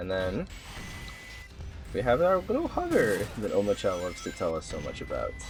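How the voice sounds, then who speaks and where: Over music in the background, the speaker talks at a fairly quick pace but leaves long, frequent pauses. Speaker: gaming video creator. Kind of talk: gameplay guide commentary. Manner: casual, conversational.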